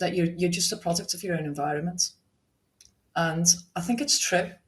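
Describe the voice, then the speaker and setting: With a strong Liverpool accent, a woman speaks in a fairly low, somewhat breathy voice with ordinary pitch variation. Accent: Liverpool (Scouse), still strong. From Liverpool, England. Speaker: restaurant owner. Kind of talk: podcast interview. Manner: chatty.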